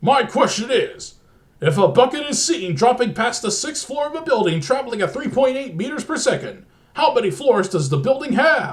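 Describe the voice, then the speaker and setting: In a put-on character voice, a man speaks at an extremely high pitch. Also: moderate pace. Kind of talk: game-show host patter. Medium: read story. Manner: menacing, profane.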